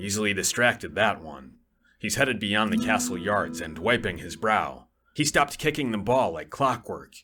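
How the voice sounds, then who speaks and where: With music in the background, a man in a put-on character voice speaks at a moderate pace, pitched fairly low, with lively intonation and big swings in loudness. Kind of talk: radio comedy drama.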